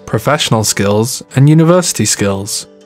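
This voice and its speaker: Music plays behind a man's voice. He talks at a moderate pace. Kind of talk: corporate narration, educational course overview. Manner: clear, measured, instructional.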